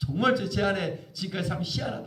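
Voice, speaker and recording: Very wide pitch swings stand out against audible room echo. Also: man. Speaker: pastor. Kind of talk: sermon. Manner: fast.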